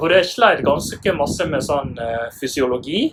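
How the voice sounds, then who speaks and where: Through noticeable background noise, a man speaks with ordinary pitch variation. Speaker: physiotherapist. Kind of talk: interview.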